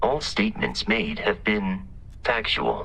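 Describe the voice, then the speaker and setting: In a put-on character voice, the speaker goes at a fairly slow pace over clear background noise. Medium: video game. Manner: measured, formal.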